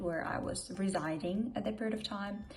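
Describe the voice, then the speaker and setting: The recording has audible room echo and noticeable background noise. A woman of medium pitch speaks with ordinary pitch variation. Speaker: YouTuber and public speaker. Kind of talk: casual vlog monologue. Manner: quiet, not loud.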